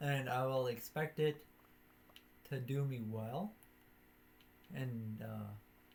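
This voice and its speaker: The voice is quiet and very slow. Long, frequent pauses break up the speech. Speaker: gaming streamer. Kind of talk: casual gameplay commentary. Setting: live stream while recording.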